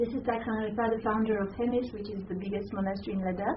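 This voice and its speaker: A woman's fairly high voice with a non-native accent, audible room echo, and noticeable background noise. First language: not English. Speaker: Buddhist nun and lecturer. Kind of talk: lecture. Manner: halting.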